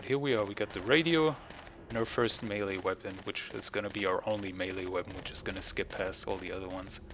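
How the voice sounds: Speaking fast in a continental European accent, a man has a low voice, a fairly bright tone and ordinary pitch variation. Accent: non-native English, continental European.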